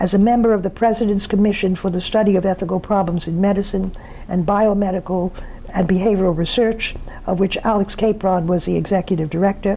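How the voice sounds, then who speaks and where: A woman speaks at a very fast pace in a medium pitch, with flat, monotone intonation, very even loudness, and noticeable background noise. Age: 80s+. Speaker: sociologist receiving an award. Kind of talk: prepared acceptance speech. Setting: pre-recorded remotely, not present at event. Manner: formal.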